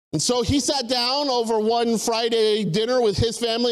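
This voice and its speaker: A man speaks in an animated tone with an American accent and an extremely high pitch. Room echo is audible. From US South, Tennessee. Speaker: missionary. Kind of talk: testimony. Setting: church service, streamed.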